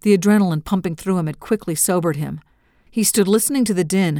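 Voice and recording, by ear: With ordinary pitch variation, the text is read aloud in a natural voice.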